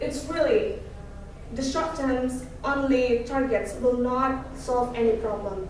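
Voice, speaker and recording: Amid noticeable background noise and audible room echo, a woman speaks at a high pitch and a very slow pace. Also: ordinary pitch variation. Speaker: student speaker. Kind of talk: presentation talk. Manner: halting.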